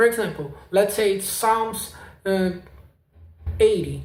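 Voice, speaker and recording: Audible room echo surrounds a man with a non-native accent who speaks at a fairly slow pace and a high pitch. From South America. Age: 20s. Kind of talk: casual vlog testimony. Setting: home apartment. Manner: halting.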